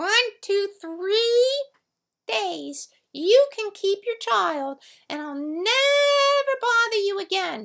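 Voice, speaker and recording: A woman's squeaky, put-on character voice, extremely high and very slow, with very wide pitch swings. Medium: read story. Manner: sly, casual.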